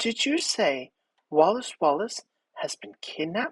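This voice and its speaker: It is a put-on character voice, soft-spoken and shaky. The pace is fairly slow. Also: man. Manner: nervous, hesitant.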